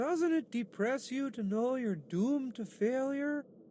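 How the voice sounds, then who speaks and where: Someone uses a put-on character voice with a fairly high pitch over clear background noise. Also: moderate pace. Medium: video game.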